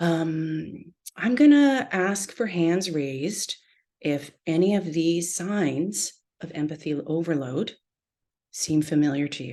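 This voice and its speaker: Soft-spoken and dark, mellow in tone, this voice moves at a very slow pace with lively intonation and big swings in loudness over a quiet background. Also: woman, fairly low pitch for a woman. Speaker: therapist leading a workshop. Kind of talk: online workshop lecture.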